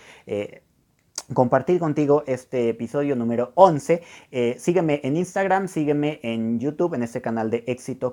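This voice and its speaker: A man's dark, mellow voice sits at a medium pitch and moves with lively intonation. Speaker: podcast host, personal development coach. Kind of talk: motivational monologue. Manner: fast; animated.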